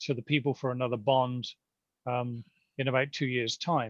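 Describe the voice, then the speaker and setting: Speaking at a moderate pace in a British accent, a man holds a flat monotone, captured in a dry, close sound with no echo. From Britain. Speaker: neighborhood committee chair. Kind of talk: community meeting Q&A.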